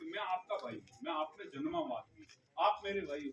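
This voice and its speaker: Loud and at a moderate pace, a man talks with very wide pitch swings. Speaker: politician. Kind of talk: campaign speech.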